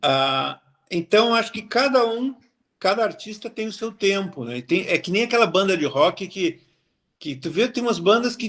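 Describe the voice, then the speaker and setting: A man speaks with lively intonation. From southern Brazil, Cachoeira do Sul. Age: 60s. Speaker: cartoonist. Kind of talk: interview. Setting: book fair.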